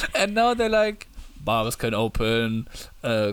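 A man's moderate-paced speech in a German accent, with fairly even intonation. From Germany. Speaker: podcast co-host. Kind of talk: casual banter podcast chat. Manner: joking, laughing often.

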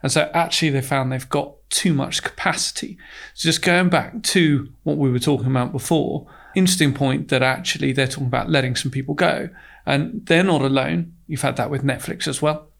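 The recording is very clean, with a silent background. A man with fairly high pitch, vocal fry and ordinary pitch variation talks at a fairly quick pace. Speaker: fund manager. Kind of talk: professional investment podcast discussion.

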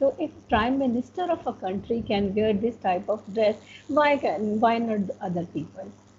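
Noticeable background noise sits behind a woman whose fairly high voice carries lively intonation. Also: moderate pace. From Pakistan. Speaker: educator and slow fashion advocate. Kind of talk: interview.

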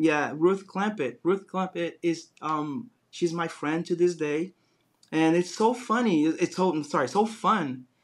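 High-pitched man with a Brazilian accent, very clean recording and silent background. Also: ordinary pitch variation, fairly slow pace. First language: Portuguese. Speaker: design business founder. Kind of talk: interview.

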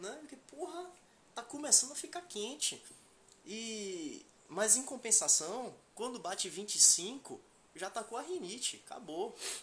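Speech in a Bahian accent comes at a fairly slow pace with long, frequent pauses. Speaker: podcast co-host. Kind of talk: casual chat.

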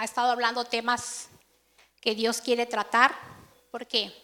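At a fairly slow pace, a woman speaks with a high pitch and a bright, sharp tone. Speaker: preacher. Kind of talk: sermon. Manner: conversational.

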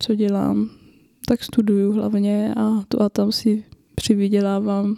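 A woman talks at a fairly slow pace in a fairly high pitch. The sound is dry and close with no echo. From northern Bohemia, Czechia (Roudnice nad Labem). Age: 20s. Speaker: podcast co-host and university student. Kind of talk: casual chat.

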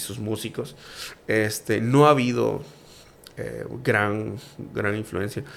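The pace is fairly slow, with ordinary pitch variation. It is a plain, everyday voice. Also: man. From Mexico, Campeche. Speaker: food reviewer and youtuber. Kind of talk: casual chat.

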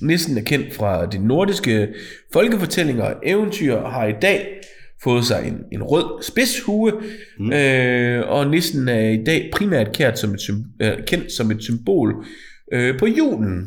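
With audible room echo, a man at medium pitch speaks at a very slow pace, his voice making very wide pitch swings. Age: 40s. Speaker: podcast co-host. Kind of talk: casual chat.

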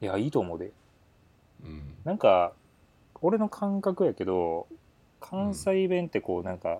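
A man at a moderate pace, with long, frequent pauses. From Kyoto. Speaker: podcast co-host. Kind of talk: casual chat. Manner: blunt, harsh-sounding tone.

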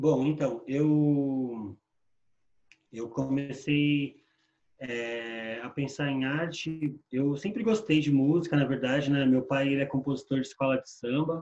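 The speaker is a man with a fairly high pitch. He talks at a very slow pace. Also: ordinary pitch variation. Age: 40s. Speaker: musician and poet. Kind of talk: casual interview.

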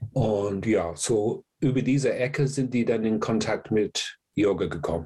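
A man's somewhat breathy voice with a dark, mellow tone and medium pitch, at a fairly slow pace, very even in loudness, with hardly any pauses. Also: ordinary pitch variation. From England. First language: English (speaking German). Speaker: yoga teacher. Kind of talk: interview.

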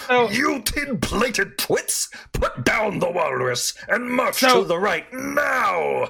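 Very slow pace in a put-on character voice, raspy throughout. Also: man. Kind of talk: theatrical, archaic insults. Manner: pompous, bossy.

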